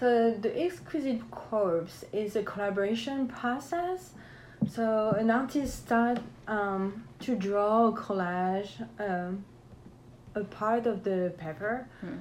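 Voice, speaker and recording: In a room with audible echo, a woman speaks at a fairly high pitch. Her pace is very slow and her intonation lively. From France, Alsace near German border. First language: French. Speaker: painter and collage artist. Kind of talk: interview.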